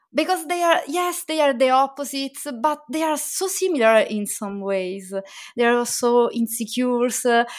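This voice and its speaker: A woman's high voice with an Italian accent, lively intonation and a moderate pace. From Italy. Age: 30s. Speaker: children's book illustrator. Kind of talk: casual interview chat.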